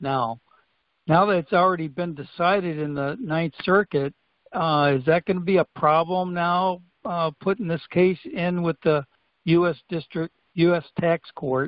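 A man with an American accent and a high pitch speaks against a quiet background, the sound dry with no echo. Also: ordinary pitch variation, fairly slow pace. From Washington state. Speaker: caller asking a question. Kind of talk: call-in question. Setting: phone call. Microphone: phone line.

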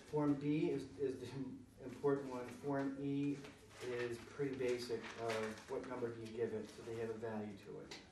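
With audible room echo and noticeable background noise, a man talks at a moderate pace in a monotone, flat intonation. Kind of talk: meeting discussion. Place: meeting room. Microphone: camera far.

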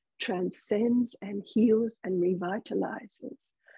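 A somewhat breathy woman's voice, fairly high in pitch with ordinary variation, at a very slow pace over a quiet background. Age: 60s. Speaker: spiritual teacher. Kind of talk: spiritual talk. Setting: video call. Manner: slow, deliberate for translators; animated. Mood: calm, gentle, spiritual. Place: home room. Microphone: earbuds.

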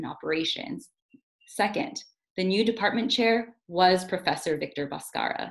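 With lively intonation, a woman talks in an American accent against a quiet background. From US, South Bay Los Angeles (Carson); Los Angeles, US. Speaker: university student affairs officer; panelist. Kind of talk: online panel presentation. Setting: online video seminar. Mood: earnest, reflective. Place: home room. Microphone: video call.

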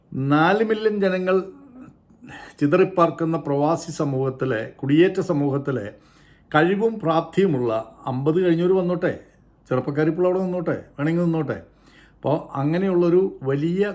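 A man's plain, everyday voice, fairly high-pitched, with ordinary pitch variation. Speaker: YouTube commentator. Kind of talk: opinion monologue.

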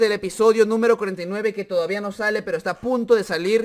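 Against a quiet background, a man talks at a fairly quick pace with a high pitch. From Peru. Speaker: gaming YouTuber. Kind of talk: casual vlog commentary. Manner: animated. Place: home room. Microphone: studio mic.

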